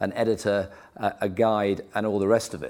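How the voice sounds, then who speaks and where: With an English accent, a man speaks at a fairly low pitch. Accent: English (RP). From England. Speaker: art collector. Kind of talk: panel discussion. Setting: stage with audience.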